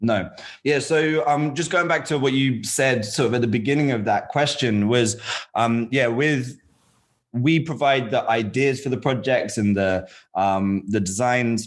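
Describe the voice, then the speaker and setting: Over a quiet background, a man uses a normal speaking voice at medium pitch and a fairly slow pace, with very even loudness and ordinary pitch variation. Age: 30s. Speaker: web developer and founder of a learning platform. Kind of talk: casual interview chat.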